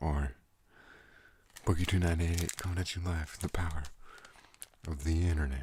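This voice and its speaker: Soft-spoken and somewhat breathy, a man with a very deep, low pitch and a soothing tone talks at a fairly quick pace with fairly even intonation and long, frequent pauses. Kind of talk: ASMR rambling and storytelling. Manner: soothing, soft-spoken.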